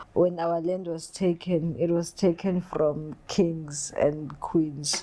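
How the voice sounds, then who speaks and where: A dark, mellow tone at a very slow pace, with monotone, flat intonation. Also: woman. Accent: South African. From South Africa, KwaZulu-Natal (north of Durban). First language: isiZulu. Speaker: body artist. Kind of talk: interview. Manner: halting, frequent repetitions and fillers.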